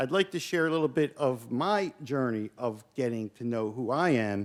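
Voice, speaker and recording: With a Philadelphia accent, a man speaks at a medium pitch and moderate pace, his intonation lively. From US Northeast, South Philadelphia. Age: 50s. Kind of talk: keynote talk.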